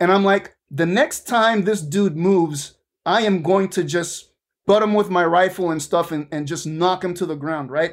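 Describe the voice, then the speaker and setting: In a very clean recording with a silent background, a man speaks at a moderate pace with a high pitch and ordinary pitch variation. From Venezuela (Caracas). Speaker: aerospace engineer, space debris expert. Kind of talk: interview.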